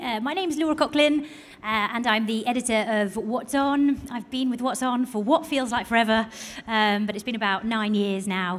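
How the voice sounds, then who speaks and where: A woman with a British accent speaks at a fairly high pitch and a moderate pace, with ordinary pitch variation. Noticeable background noise runs underneath. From Britain. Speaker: magazine editor. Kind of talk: panel discussion.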